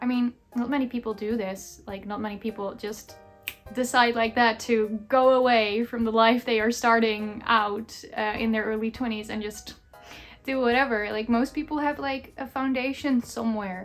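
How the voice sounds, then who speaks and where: Fairly even intonation over music in the background. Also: woman, fairly high pitch for a woman, moderate pace. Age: 20s. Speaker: content creator. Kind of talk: casual vlog chat. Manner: rambling, chatty.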